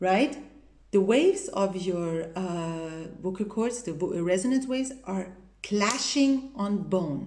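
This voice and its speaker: Speaking at a very slow pace, a woman with a medium pitch uses lively intonation against noticeable background noise. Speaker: vocal teacher. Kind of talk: vocal technique tutorial.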